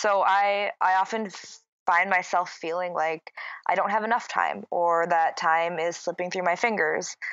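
At a moderate pace, a woman in a Minnesotan accent keeps a medium pitch and fairly even intonation. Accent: Minnesota. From US Midwest, Minnesota. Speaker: yoga and wellness entrepreneur. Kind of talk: casual interview chat.

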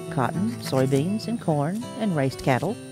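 With music in the background, a woman speaks at a moderate pace, her pitch swinging very widely. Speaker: family history narrator. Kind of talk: documentary narration.

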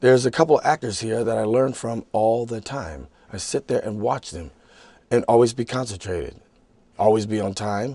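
Dry with no echo, this voice has a dark, mellow tone and an American accent. The pace is moderate, with ordinary pitch variation. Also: man. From United States. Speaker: actor. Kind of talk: interview. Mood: relaxed, reflective. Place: studio.

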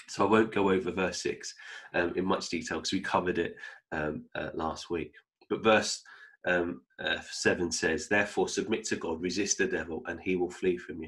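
In a quiet setting, a man talks at a moderate speed. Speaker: bible teacher. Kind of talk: sermon. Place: home room. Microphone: webcam.

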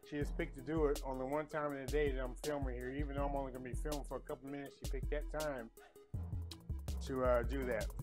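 Over clear music in the background, a man talks at a very fast pace. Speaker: home cook food reviewer. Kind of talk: casual vlog chat. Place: kitchen.

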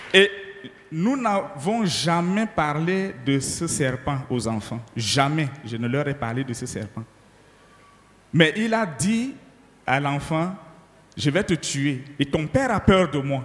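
Speaking very slowly with long, frequent pauses, a man with a fairly high pitch uses lively intonation. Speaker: pastor. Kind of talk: testimony. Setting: church.

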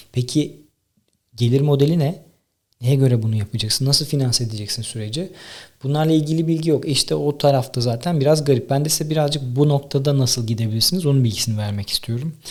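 At a very fast pace, a somewhat breathy man speaks with fairly high pitch and ordinary pitch variation. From Tekirdağ, Turkey. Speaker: podcaster and content creator. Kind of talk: solo monologue, casual talk to camera. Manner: conversational, informal.

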